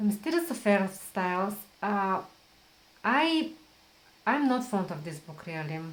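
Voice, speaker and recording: A woman with a non-native accent, medium pitch and a somewhat breathy voice, at a fairly slow pace. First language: not English. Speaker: book vlogger. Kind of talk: casual talk to camera. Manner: halting, with fillers and repeats.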